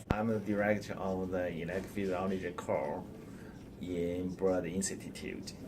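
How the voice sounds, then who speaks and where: A man with a non-native accent and a very deep, low pitch speaks at a fairly slow pace in a flat monotone, with audible room echo. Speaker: research facility director. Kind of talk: interview.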